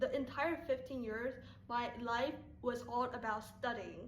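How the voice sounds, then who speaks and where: A woman's high voice in a Chinese accent, fairly even in intonation, with audible room echo and noticeable background noise. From Taiwan. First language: Mandarin Chinese. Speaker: YouTuber. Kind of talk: casual vlog talk to viewers.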